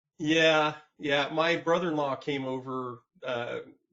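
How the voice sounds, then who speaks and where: A man with a plain, everyday voice and an American accent speaks at a fairly high pitch with ordinary pitch variation. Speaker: podcast host. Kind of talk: podcast interview. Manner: casual.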